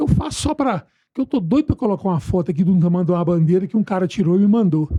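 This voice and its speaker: Very fast and very even in loudness, a man speaks with a high pitch and a dark, mellow tone. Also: lively intonation, dry, close sound with no echo. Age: 60s. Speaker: environmental educator and university professor. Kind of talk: casual chat.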